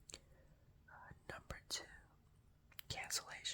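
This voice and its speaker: A man whispers. His voice stays hushed throughout. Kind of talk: ASMR reading of a work directive. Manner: whispered.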